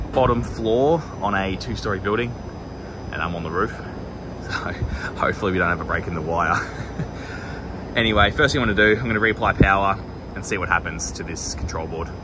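Over noticeable background noise, a man speaks at a fairly quick pace with a fairly low pitch. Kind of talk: tutorial. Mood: relaxed, slightly amused. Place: open country. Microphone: phone near.

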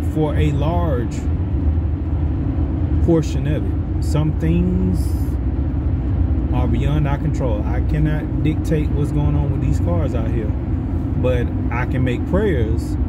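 A man talks at a very slow pace with long, frequent pauses and ordinary pitch variation. Loud background noise runs underneath. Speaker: faith vlogger. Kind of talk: casual preaching vlog. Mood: reflective, earnest. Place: car. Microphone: phone near.

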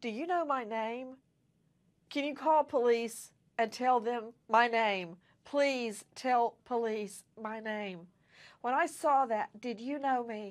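A woman speaks at a very slow pace. Her pitch is high. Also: ordinary pitch variation, quiet background. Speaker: TV news host. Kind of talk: news show introduction. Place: studio. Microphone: lapel.

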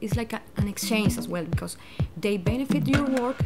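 A woman with a Spanish accent speaks at a moderate pace over clear background music. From Venezuela. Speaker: architect; language student. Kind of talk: testimonial interview answer. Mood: calm, warm. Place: home room.

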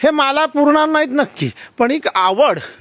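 A man's voice makes very wide pitch swings. The sound is dry and close with no echo. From Konkan, Maharashtra. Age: 60s. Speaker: farmer. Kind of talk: testimony.

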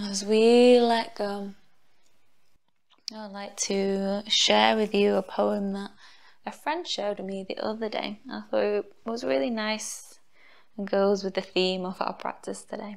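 A woman with a plain, everyday voice speaks at a fairly slow pace, her pitch medium and her intonation fairly even. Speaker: yoga teacher. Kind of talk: guided relaxation. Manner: soft-spoken, slow.

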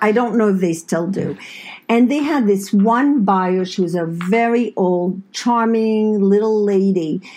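The speaker is a woman with a medium pitch. She goes at a fairly slow pace with ordinary pitch variation. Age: 60s. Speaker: podcast co-host, host's mother. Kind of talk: casual chat. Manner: talkative.

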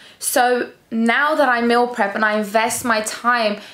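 A woman's fairly high voice with a fairly bright tone and ordinary pitch variation

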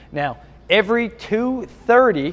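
His pitch varies in an ordinary way as the man talks. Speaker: fitness coach. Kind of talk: tutorial. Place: gym. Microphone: phone near.

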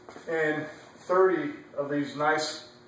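A man is speaking. The room's echo is audible. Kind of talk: promotional walkthrough commentary. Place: cafe. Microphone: camera far.

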